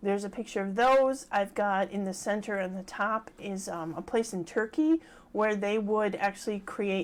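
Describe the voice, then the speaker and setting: Speaking with fairly even intonation, the woman holds a medium pitch. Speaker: ghost tour guide. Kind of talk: live workshop presentation. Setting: livestream from home office.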